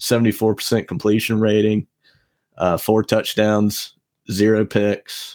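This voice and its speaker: In a very clean recording with a silent background, a man talks at a fairly slow pace in a fairly low pitch, his intonation monotone and flat. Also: dry, close sound with no echo. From US South, Savannah, Georgia. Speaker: podcast co-host. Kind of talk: casual chat.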